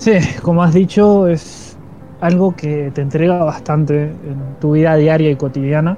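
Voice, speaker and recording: Over noticeable background noise, a man speaks at a fairly slow pace in a fairly high pitch with ordinary pitch variation. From Argentina, Paraná, Entre Ríos. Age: 20s. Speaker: tabletop roleplaying YouTuber and podcast co-host. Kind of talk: casual chat. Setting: live stream.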